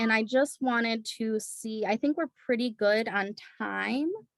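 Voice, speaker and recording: In a dry, close recording with no echo, a woman with an unremarkable speaking voice talks at a fairly slow pace and ordinary pitch variation. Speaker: early childhood program presenter. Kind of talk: presentation in an online community forum. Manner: many filler words (um).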